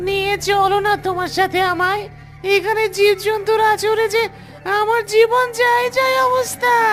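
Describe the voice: A cartoonish character voice at an extremely high pitch and a fairly slow pace, over clear background noise.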